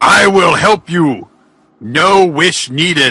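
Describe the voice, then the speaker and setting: A man puts on a character voice, pitched high for a man and delivered at a very slow pace. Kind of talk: comic overacting. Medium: read story. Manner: grandiose, menacing.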